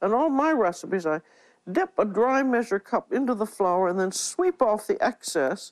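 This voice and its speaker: A woman speaks at a moderate pace and fairly high pitch, with very wide pitch swings and very even loudness. The sound is dry and close with no echo, over a quiet background. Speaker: TV cooking show host. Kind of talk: cooking demonstration to camera.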